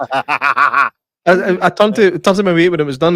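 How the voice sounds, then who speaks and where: A man with a Scottish accent and a fairly high pitch talks with ordinary pitch variation in a very clean recording with a silent background and a dry, close sound with no echo. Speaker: podcast host. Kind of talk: casual chat.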